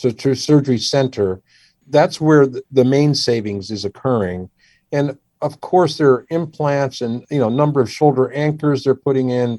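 A man with a dark, mellow tone and an American accent, at a moderate pace. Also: medium pitch for a man, ordinary pitch variation, quiet background. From Washington D.C. area, US. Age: 60s. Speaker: surgeon. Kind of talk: podcast interview.

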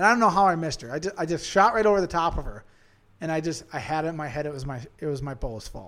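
In a very clean recording with a silent background, a man with an Upper Midwest accent talks at a very fast pace, his pitch fairly high with ordinary variation. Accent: Upper Midwest (Minnesota). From Central Minnesota. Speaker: hunter. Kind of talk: casual chat.

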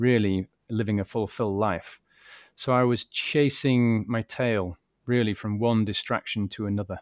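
With a British accent, a man speaks at a moderate pace with a fairly low pitch and fairly even intonation, captured as a dry, close sound with no echo on a very clean recording with a silent background. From UK. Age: 40s. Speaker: mental health advocate and author. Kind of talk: interview. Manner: halting, repeats words.

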